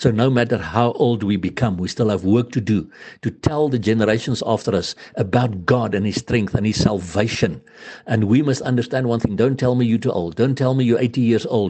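A man talks fairly quickly in a normal speaking voice at medium pitch with ordinary pitch variation. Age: 60s. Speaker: preacher. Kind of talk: sermon.

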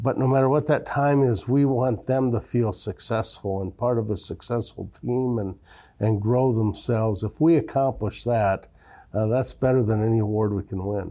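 A man's dark, mellow voice at medium pitch, with ordinary pitch variation and an Upper Midwest accent. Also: moderate pace. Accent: Upper Midwest American. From Iowa, small-town. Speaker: bank executive. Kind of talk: interview. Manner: halting, many filler words.

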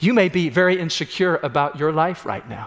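Here a man talks at a fairly quick pace. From US Midwest, Illinois. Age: 60s. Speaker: pastor. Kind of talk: sermon. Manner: animated.

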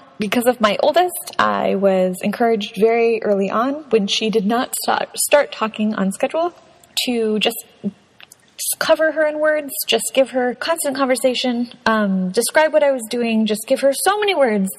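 The speech comes at a moderate pace with lively intonation. There is noticeable background noise. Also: woman, high pitch for a woman. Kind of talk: casual monologue. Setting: home recording in a closet. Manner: animated.

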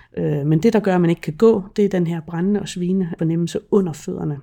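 A woman talks at a fairly quick pace in a fairly low pitch with fairly even intonation. Her tone is dark and mellow on a very clean recording with a silent background. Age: 50s. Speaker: chronic pain patient. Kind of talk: personal testimony interview. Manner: hesitant, many fillers.

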